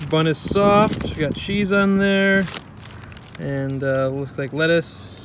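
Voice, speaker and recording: Very slowly, a man speaks with ordinary pitch variation, the sound dry with no echo over noticeable background noise. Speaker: food reviewer. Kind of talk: casual vlog chat. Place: street. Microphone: phone near.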